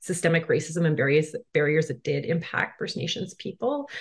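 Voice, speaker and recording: A woman with a normal speaking voice talks at a fairly low pitch, her intonation lively. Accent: Canadian. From Manitoba, Canada. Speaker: dental therapist. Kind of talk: interview.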